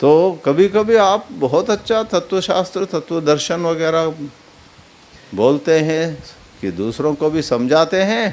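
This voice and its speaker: The speaker has a Kannada accent and lively intonation. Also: man, high pitch for a man. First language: Kannada (speaking Hindi). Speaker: spiritual teacher. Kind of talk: religious discourse on scripture. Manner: halting, self-correcting.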